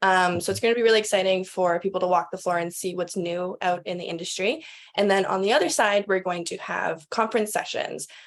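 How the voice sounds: A woman speaks at a fairly quick pace. Her pitch is fairly low. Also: ordinary pitch variation.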